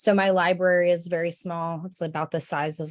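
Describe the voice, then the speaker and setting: A woman with an ordinary speaking voice, fairly low in pitch, at a moderate pace against a quiet background. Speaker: school librarian. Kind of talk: presentation.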